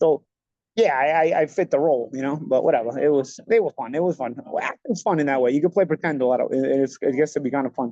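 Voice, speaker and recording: Talking at a very fast pace, a man with an American accent has a dark, mellow tone and a fairly high pitch, recorded with a dry, close sound with no echo. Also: ordinary pitch variation. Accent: old-school Italian American New York. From New York, Bensonhurst Brooklyn. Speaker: former pro boxer, podcast host. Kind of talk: casual chat. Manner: animated.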